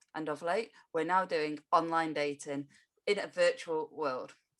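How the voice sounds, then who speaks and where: A normal speaking voice from a woman, fairly low in pitch, with fairly even intonation at a moderate pace. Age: 30s. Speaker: podcast host. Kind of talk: podcast interview.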